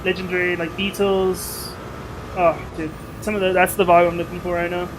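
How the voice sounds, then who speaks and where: Over noticeable background noise, a man speaks at a moderate pace in a high pitch with monotone, flat intonation. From South Africa. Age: 20s. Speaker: gaming livestreamer. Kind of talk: live gaming stream chat. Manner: casual, chatty.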